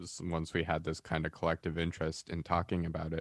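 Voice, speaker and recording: The recording is very clean, with a silent background. A man speaks in a very deep, low voice at a moderate pace, flat and monotone. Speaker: college radio co-host. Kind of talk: casual chat. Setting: radio studio. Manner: hesitant, many filler words.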